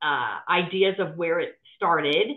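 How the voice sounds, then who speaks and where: At a very slow pace, a woman with a slight Midwestern accent speaks at medium pitch. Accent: slight Midwestern twang. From US Midwest, Cleveland, Ohio. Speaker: non-executive director. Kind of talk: casual interview chat.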